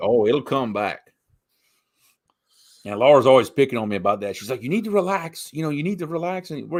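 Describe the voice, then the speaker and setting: Over a very clean recording with a silent background, a man speaks at a medium pitch. His pitch swings very widely and his pace is fairly quick. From south Louisiana, Cajun country. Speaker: show host. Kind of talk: casual chat.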